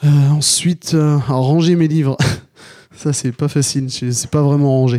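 Dark and mellow in tone, a man speaks with fairly even intonation at a fairly slow pace. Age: 30s. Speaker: listener. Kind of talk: questionnaire answers. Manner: halting.

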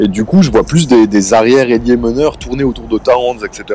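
Fairly quick speech from a man, noticeable background noise behind him. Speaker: basketball podcaster. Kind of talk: casual chat.

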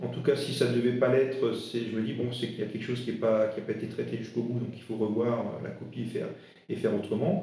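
With audible room echo, a man talks at a very fast pace using fairly even intonation. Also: medium pitch for a man. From Alsace, eastern France. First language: Alsatian (speaking French). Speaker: interim HR director. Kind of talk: interview. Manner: halting, many fillers.

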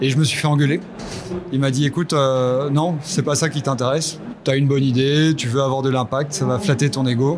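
A man with a fairly high voice speaks at a fairly quick pace, his loudness very even and his intonation fairly even. Noticeable background noise sits under the recording. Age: 40s. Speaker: agricultural business founder. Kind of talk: interview. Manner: hesitant, many fillers and repetitions.

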